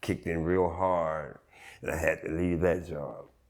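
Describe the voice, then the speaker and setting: This man's voice sits very deep and low, with vocal fry. He speaks at a moderate pace. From US, Baltimore (East Baltimore). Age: 50s. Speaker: documentary interviewee sharing life story. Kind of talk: personal testimony interview. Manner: halting, many fillers.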